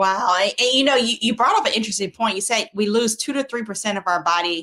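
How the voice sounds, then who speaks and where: With a bright, sharp tone and ordinary pitch variation, a woman talks at a fairly quick pace with hardly any pauses. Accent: South Carolina. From South Carolina. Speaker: TV health show host, doctor. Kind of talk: interview.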